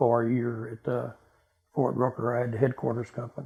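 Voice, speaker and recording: A man with a Texan accent speaks at a very fast pace. His voice is somewhat breathy. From Texas (Dallas). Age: 80s+. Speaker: military veteran. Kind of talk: oral history interview. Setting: at home.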